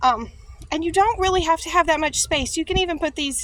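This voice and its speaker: A woman with an American accent, bright and sharp in tone, at a fairly quick pace. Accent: country, stronger today. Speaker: farmer and gardening YouTuber. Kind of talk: tutorial. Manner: casual, with many fillers.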